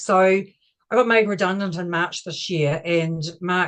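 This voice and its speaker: With a New Zealand accent, a woman speaks using fairly even intonation. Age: 60s. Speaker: operations manager. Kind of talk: testimony.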